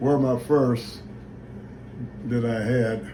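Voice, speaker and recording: Amid noticeable background noise and audible room echo, a man talks at a very slow pace and medium pitch. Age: old. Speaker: retired boxer and father. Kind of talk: family video message. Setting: video recorded by daughter holding camera. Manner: halting.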